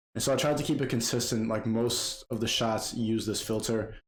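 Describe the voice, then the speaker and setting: A man's medium-pitched voice carries audible echo from the room. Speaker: video editor / YouTuber. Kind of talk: tutorial. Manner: casual, fast-paced; loud.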